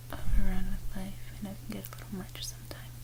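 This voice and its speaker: Someone whispers at a fairly quick pace. Noticeable background noise sits behind the voice. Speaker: ASMR creator. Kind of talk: ASMR talk to viewer before sleep reading. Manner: whispered.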